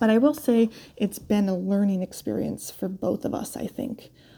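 A woman speaks in an American accent at a fairly slow pace. Her tone is dark and mellow. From upstate New York, US. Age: 30s. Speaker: endurance rider. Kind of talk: recorded personal story.

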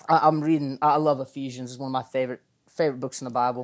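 On a very clean recording with a silent background, a man speaks with a Southern US accent. His voice is fairly high and his intonation fairly even. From Arkansas, US South. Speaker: college ministry intern. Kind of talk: casual chat.

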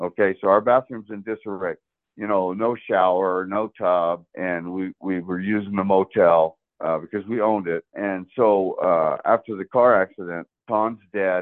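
A man with an unremarkable speaking voice, an American accent, fairly low pitch, fairly even intonation, and a moderate pace. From US South, South Florida. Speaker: former motel owner. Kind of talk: interview.

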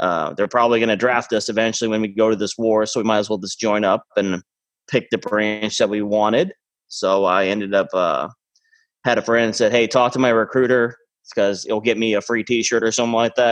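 Using a normal speaking voice, a man talks fairly quickly at medium pitch with fairly even intonation. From Mexico (American missionary family, born in Maine). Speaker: Marine veteran and veterans' peer support worker. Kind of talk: casual interview. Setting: remote recording.

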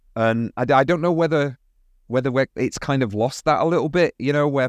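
A man speaks with a British accent. The recording is dry and close with no echo, over a quiet background. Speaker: podcast co-host and film educator. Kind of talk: casual chat.

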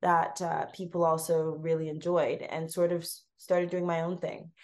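In a Canadian accent, a woman with a fairly low pitch talks at a moderate pace in an unremarkable speaking voice. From Canada, Toronto. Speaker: food blogger and recipe developer. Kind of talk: casual interview.

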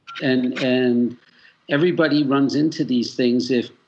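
A man with a plain, everyday voice and an American accent speaks at a medium pitch and a moderate pace. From Boston area, Massachusetts. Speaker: musician and fundraiser guest. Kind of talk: casual interview chat.

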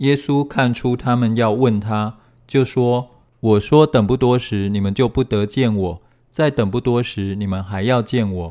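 A man's medium-pitched voice at a moderate pace, with ordinary pitch variation. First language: Chinese. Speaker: scripture reader. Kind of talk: reading aloud.

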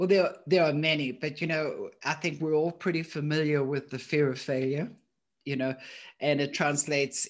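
The voice carries a South African accent at a moderate pace. The background is quiet. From South Africa, Johannesburg. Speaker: thinking coach, company founder. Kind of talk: interview conversation.

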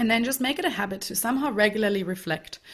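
A woman with a German accent and a fairly high pitch, on a very clean recording with a silent background. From Germany. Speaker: life coach. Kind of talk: interview. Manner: energetic.

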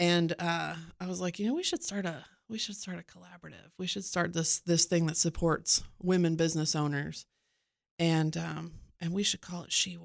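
A woman with a normal speaking voice and fairly low pitch, moderate pace, fairly even intonation and big swings in loudness, on a very clean recording with a silent background. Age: 30s. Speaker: marketing agency owner. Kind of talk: interview.

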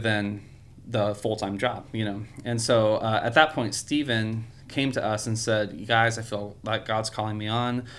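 A man with an American accent and an unremarkable speaking voice, medium in pitch, with fairly even intonation at a moderate pace. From California. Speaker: church music director. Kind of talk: casual interview.

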